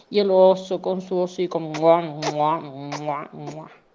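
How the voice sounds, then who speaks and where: At a very slow pace, a woman speaks in a medium pitch with a dark, mellow tone. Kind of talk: children's bedtime story narration.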